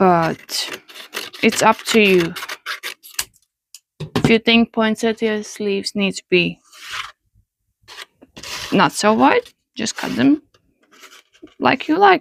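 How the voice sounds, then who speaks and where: A woman with a non-native accent talks at a very slow pace, with long, frequent pauses and lively intonation. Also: fairly high pitch for a woman, dry, close sound with no echo. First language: not English. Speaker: paper flower maker. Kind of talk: craft tutorial.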